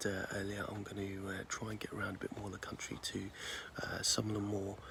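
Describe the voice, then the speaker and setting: A man's fairly low voice with an English accent, very fast and with fairly even intonation. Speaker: angler and video creator. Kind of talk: casual vlog to camera. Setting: outdoors at a lake. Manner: soft-spoken; hesitant, many fillers.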